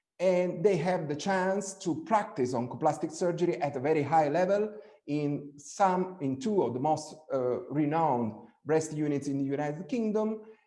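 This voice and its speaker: Heard with audible room echo, a man with a fairly high pitch and a dark, mellow tone talks at a moderate pace with ordinary pitch variation. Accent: Italian. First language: Italian. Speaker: breast surgeon. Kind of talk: webinar presentation. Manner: halting, many fillers and repetitions.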